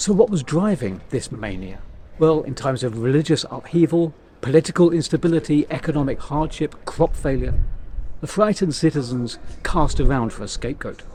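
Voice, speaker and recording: A man talks at a moderate pace in a fairly high pitch with very wide pitch swings. His tone is dark and mellow, with vocal fry. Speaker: storyteller, tour guide. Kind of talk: history storytelling to camera.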